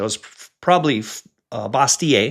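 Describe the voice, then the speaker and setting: Using lively intonation, a man with an unremarkable speaking voice speaks at a moderate pace. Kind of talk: solo podcast teaching talk.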